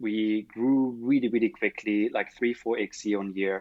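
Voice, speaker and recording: Speaking at a fairly slow pace, a man with a German accent keeps a fairly even intonation and a fairly low pitch. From Germany. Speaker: startup founder. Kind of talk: interview.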